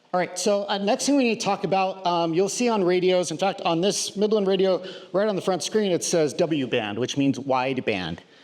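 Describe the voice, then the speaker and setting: With noticeable background noise behind him, a man with a high pitch talks at a moderate pace with lively intonation, very even loudness and hardly any pauses. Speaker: radio instructor. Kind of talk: lecture. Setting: classroom with live audience.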